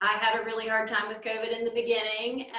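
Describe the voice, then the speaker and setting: A woman with a Southern accent speaks in a fairly high pitch, with audible room echo and noticeable background noise. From North Carolina, US South. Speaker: librarian presenting at a conference. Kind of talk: conference presentation.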